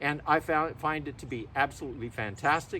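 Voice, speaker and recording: A fairly high-pitched man's voice with vocal fry, at a fairly quick pace. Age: 70s. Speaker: e-bike owner reviewer. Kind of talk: product review. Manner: casual, conversational.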